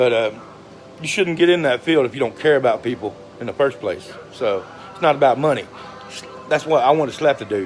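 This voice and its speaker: A fairly high-pitched man with a Southern US accent, lively intonation, a fairly quick pace, long and frequent pauses, and noticeable background noise. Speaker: social media personality. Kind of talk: casual monologue. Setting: livestream. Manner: halting.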